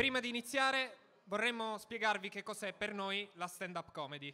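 This man's voice is raised and projected, high in pitch, with a bright, sharp tone. He keeps a moderate pace. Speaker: stand-up comedian. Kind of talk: stand-up comedy, scripted-sounding monologue. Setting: stage with audience. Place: stage.

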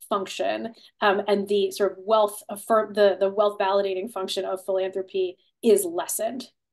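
A woman speaks with an American accent at a medium pitch and fairly slow pace. Her intonation is fairly even, and the background is quiet. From Ohio (Cleveland); Ohio. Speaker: author and political philosopher; guest. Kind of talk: webinar conversation. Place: home room. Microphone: video call.

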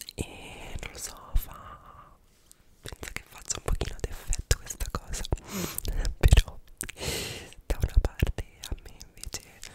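Someone whispers, soft-spoken, at a very slow pace with long, frequent pauses. The sound is dry with no echo, over loud background noise. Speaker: content creator. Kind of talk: casual vlog chat. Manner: soft close-mic whisper. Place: home room. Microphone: studio mic.

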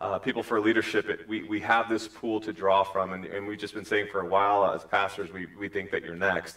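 This man talks at a fairly quick pace in a normal speaking voice. His pitch sits fairly low, with a quiet background. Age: 40s. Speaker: pastor. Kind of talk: sermon; church stage interview. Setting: church. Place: church.

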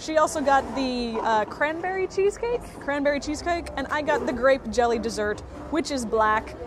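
A woman speaks at a high pitch, with a dry sound and no echo. Noticeable background noise runs underneath. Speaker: food reviewer. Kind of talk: casual food review vlog chat. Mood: playful, wry. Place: cafe. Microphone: lapel.

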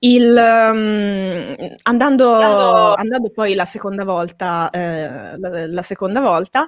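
A woman talks with ordinary pitch variation. The sound is dry with no echo over a quiet background. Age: 20s. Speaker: manga artist and school director; guest. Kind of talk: interview. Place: home room. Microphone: studio mic.

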